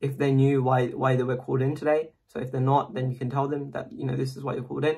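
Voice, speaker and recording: The voice is somewhat breathy, with a monotone, flat intonation. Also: man. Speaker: medical student making an interview tips video. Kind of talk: casual tutorial monologue to camera. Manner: fast; hesitant, many fillers.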